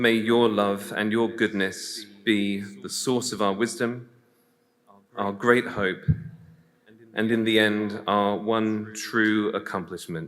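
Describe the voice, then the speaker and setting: A man with an English accent, fairly low in pitch, at a very slow pace with long, frequent pauses and fairly even intonation, amid audible room echo. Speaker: priest. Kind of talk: prayer.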